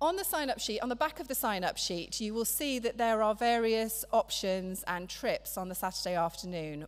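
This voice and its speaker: A woman speaks at a moderate pace. Her intonation stays lively. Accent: English. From England. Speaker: church member. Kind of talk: church announcements and scripture reading. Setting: church. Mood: friendly, practical. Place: church. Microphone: podium.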